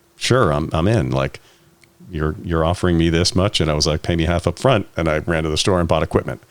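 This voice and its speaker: A man's very deep, low voice with vocal fry, ordinary pitch variation and a fairly quick pace. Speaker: voice actor. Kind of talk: interview answer.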